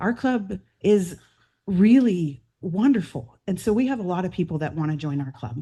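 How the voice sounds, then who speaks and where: With an American accent, a woman speaks at a moderate pace in a medium pitch, her dark, mellow tone somewhat breathy and her pitch swinging very widely. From Grants Pass, Oregon, US Pacific Northwest. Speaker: incoming club president. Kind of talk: installation speech.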